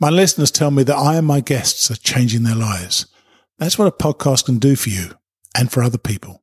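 A man with a British accent, medium pitch, lively intonation and a fairly quick pace, somewhat breathy, in a dry, close sound with no echo. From Britain. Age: 60s. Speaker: hiking podcast host. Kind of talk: promotional spot.

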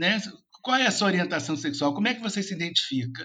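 A man projects a raised voice at a high pitch, his tone bright and sharp and his pitch swinging very widely. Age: 50s. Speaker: social worker and professor. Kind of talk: interview.

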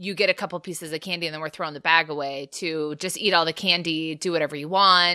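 A woman talks at a fast pace in a low pitch for a woman, her tone bright and sharp and her intonation fairly even.

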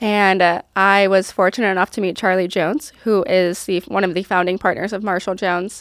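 With an American accent, a woman speaks in an ordinary speaking voice at a medium pitch, a fairly quick pace, hardly any pauses and fairly even intonation, in a very clean recording with a silent background. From upstate New York. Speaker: accounting firm partner. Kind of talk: interview. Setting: studio.

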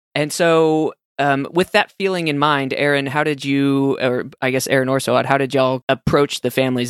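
The speaker has a Texan accent and fairly even intonation, on a very clean recording with a silent background and a dry, close sound with no echo. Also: man. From Texas. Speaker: podcast host and pediatric oncology fellow. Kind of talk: interview conversation.

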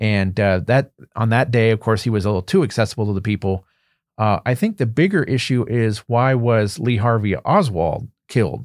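A man with an American accent speaks in a normal speaking voice at a medium pitch and moderate pace, with ordinary pitch variation and very even loudness. The sound is dry and close with no echo, on a very clean recording with a silent background. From Pennsylvania, Berks County. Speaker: political science professor. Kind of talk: interview. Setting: studio.

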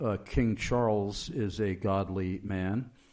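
A man is speaking. Noticeable background noise runs through the clip. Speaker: radio host. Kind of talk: radio interview. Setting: studio.

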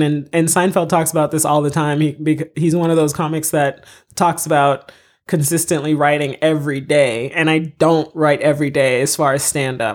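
A woman with an American accent speaks at a moderate pace in a very deep, low voice with fairly even intonation, on a very clean recording with a silent background. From US, Florida and Massachusetts (born in Haiti). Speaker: comedy TV writer and stand-up comedian. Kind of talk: casual interview.

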